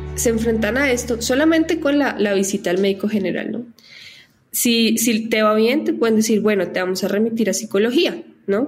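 A plain, everyday voice with ordinary pitch variation. It moves at a moderate pace. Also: woman, fairly high pitch for a woman. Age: 20s. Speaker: advertising professional and foundation director. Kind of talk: interview.

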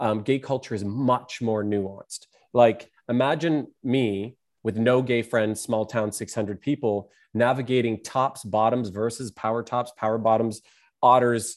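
Over a silent background in a very clean recording, a man with a normal speaking voice talks at a fairly slow pace, medium in pitch, with fairly even intonation. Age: 30s. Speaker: artist and entertainer. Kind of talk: casual chat.

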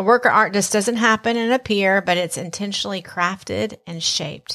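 Speaking at a moderate pace in a Southern US accent, a woman has a medium pitch, a bright, sharp tone and ordinary pitch variation. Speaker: podcast host. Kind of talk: casual conversational podcast.

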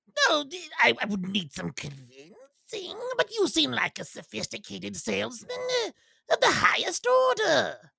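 Here a man performs a put-on character voice. His pace is moderate. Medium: actual play. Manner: formal, stilted phrasing; nervous.

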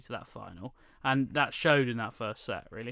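With a British accent and a bright, sharp tone, a man talks at a fairly quick pace in a very clean recording with a silent background. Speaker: tennis podcast host. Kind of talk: casual chat.

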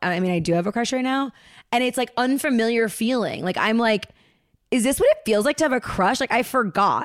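Fairly quick delivery in a plain, everyday voice, its pitch varying in an ordinary way. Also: woman, fairly high pitch for a woman. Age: 30s. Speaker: comedian. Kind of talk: casual chat. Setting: video call.

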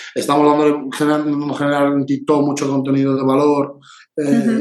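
A man's fairly high voice at a fairly quick pace over noticeable background noise. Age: 30s. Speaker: marketing agency director. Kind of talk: interview.

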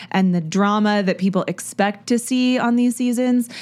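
A woman's ordinary speaking voice at a medium pitch, on a very clean recording with a silent background. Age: 30s. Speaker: podcast host. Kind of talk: solo TV recap monologue. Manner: casual, chatty with filler words.

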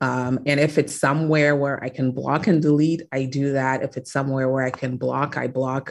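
A woman with a very deep, low pitch, monotone, flat intonation, a moderate pace and hardly any pauses. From Ghana. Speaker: tech company founder. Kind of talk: interview.

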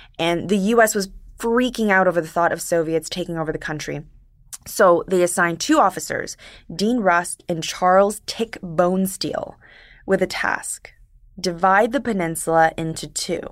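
Speaking at a moderate pace and medium pitch with ordinary pitch variation, a woman has an unremarkable speaking voice in a very clean recording with a silent background. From Korean diaspora, first-generation immigrant to Canada. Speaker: podcast producer. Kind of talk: conversational history explainer.

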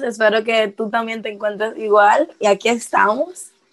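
With a Dominican accent, a woman speaks fairly slowly at a fairly high pitch. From Dominican Republic. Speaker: singer-songwriter. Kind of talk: casual interview.

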